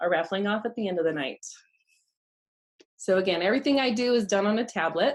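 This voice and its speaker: A woman with an American accent, medium pitch and lively intonation. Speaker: photographer and Photoshop instructor. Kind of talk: tutorial.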